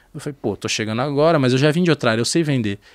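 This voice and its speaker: A man's fairly high-pitched voice with lively intonation over a quiet background. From southern Brazil, Porto Alegre; Rio Grande do Sul, Brazil. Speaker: sales executive. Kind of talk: casual chat. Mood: relaxed, casual, animated. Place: studio. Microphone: studio mic.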